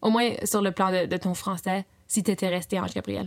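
Recorded very cleanly against a silent background, a woman speaks fairly quickly at a medium pitch, with ordinary pitch variation and some vocal fry. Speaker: podcast host and interviewer. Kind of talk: interview. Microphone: slight echo and irregular sounds.

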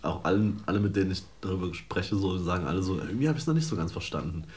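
Very deep and low, a man's somewhat breathy voice moves at a very fast pace with lively intonation. Audible room echo surrounds him. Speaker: podcast co-host. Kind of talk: casual chat.

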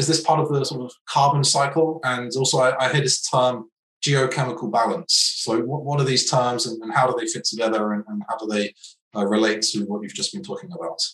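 A man speaks at a fairly quick pace. His pitch is medium, with ordinary pitch variation. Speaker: podcast host. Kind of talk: interview, conversational. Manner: hesitant, halting with fillers.

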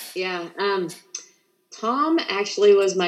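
In a Midwestern American accent, a woman talks at a very slow pace. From central Indiana. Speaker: Spanish teacher. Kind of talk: casual interview. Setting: live radio show.

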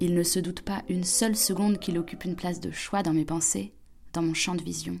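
A woman's fairly low voice with vocal fry, a moderate pace and ordinary pitch variation. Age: young. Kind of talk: scripted narration.

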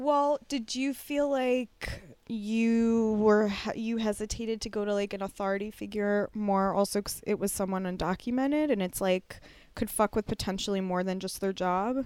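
A woman with a normal speaking voice and fairly high pitch talks at a moderate pace with ordinary pitch variation. The recording is very clean, with a silent background. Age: 40s. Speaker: comedian and podcast co-host. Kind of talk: casual chat.

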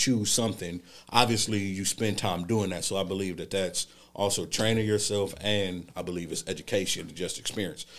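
The speaker is a man with an ordinary speaking voice, fairly low in pitch. He holds a moderate pace and fairly even intonation. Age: 20s. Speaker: podcast co-host, restaurant worker. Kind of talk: casual chat.

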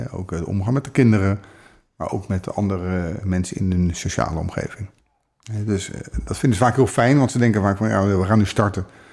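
Here is a man with a plain, everyday voice, pitched fairly low. His pitch varies in an ordinary way at a fairly quick pace. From Netherlands, The Hague. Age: 50s. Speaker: relationship coach. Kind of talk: casual chat. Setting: in person, The Hague area.

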